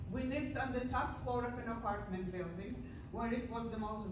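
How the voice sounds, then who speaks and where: There is audible room echo and noticeable background noise as a woman speaks. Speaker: guest lecturer sharing life story. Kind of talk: lecture. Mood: earnest, solemn. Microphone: pa.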